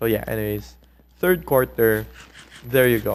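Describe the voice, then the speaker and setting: The speaker is a man talking at a moderate pace. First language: not English; a non-English mother tongue. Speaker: gaming commentary youtuber. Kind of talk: casual storytelling commentary. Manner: animated, conversational.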